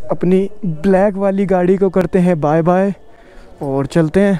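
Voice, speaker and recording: A man talks with a high pitch and fairly even intonation. The sound is dry with no echo. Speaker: motorcycle travel vlogger. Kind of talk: casual vlog chat. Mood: frustrated, complaining. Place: street. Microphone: phone near.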